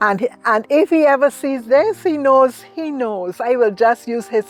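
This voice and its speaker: Over music in the background, a woman with a Barbadian accent talks at a fairly slow pace in a high pitch with very wide pitch swings, the sound dry and close with no echo. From Barbados. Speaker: retired teacher. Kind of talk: interview answer.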